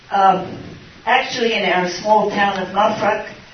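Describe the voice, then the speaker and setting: There is audible room echo and noticeable background noise. Through it, a woman speaks with an Australian accent. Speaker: missionary nurse. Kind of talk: question and answer session.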